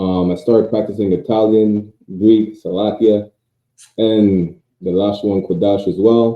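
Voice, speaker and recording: A man's fairly low voice at a fairly slow pace, with monotone, flat intonation. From Quebec, Montreal (Martinique-born). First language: French. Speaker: priest. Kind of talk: interview. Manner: halting.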